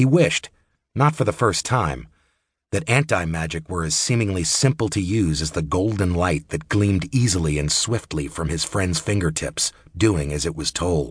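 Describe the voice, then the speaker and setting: A man's very deep, low voice, somewhat breathy, with lively intonation at a moderate pace against a quiet background. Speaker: audiobook narrator. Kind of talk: audiobook narration, unabridged fantasy fiction read aloud in a steady storyteller voice. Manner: measured, moody and descriptive, narrating with a smooth, even pace.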